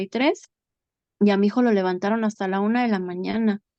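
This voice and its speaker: Pitched rather high, a woman talks at a middling speed. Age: 40s. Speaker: bereaved mother. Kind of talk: testimony.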